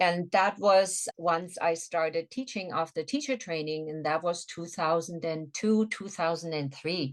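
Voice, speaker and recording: A woman with a German accent, hardly any pauses in her speech. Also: fairly low pitch for a woman, ordinary pitch variation, fairly slow pace. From Germany (Swabia, southern Germany). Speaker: yoga instructor, massage therapist and former nurse. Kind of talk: interview conversation.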